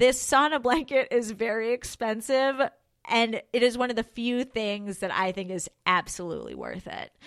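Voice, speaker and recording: With an unremarkable speaking voice, a woman talks at a fairly high pitch, with ordinary pitch variation and big swings in loudness. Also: moderate pace. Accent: American. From New York. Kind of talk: casual chat.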